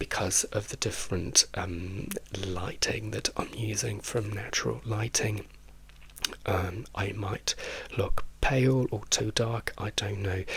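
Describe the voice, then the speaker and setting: Soft-spoken and with vocal fry, a man with a fairly low pitch talks at a very slow pace in a British accent, with big swings in loudness. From England. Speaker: drag queen and YouTuber. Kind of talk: casual chat.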